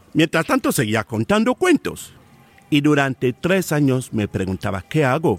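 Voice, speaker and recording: Speaking at a fairly slow pace, a man with a fairly high pitch and vocal fry makes very wide pitch swings in a dry, close recording with no echo. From Cameroon, rural inland village. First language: a Cameroonian language (speaking Spanish). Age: 50s. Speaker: professional oral storyteller. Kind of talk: in-depth interview.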